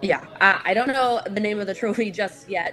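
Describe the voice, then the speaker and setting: Against noticeable background noise, a woman with a Canadian accent talks at a medium pitch. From St. Catharines, Ontario, Canada. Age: 20s. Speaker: professional hockey player. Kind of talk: interview. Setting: video call.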